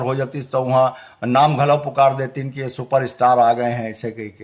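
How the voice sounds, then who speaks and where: A man is speaking. The background is quiet. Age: 60s. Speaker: filmmaker and cultural activist. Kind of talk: opinion monologue. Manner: halting, with many fillers.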